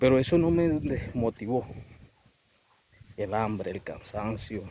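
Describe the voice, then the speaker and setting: The man speaks at a very slow pace. His pitch is medium. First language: Wayuunaiki (speaking Spanish). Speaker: professional sharing life story. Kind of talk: motivational testimony.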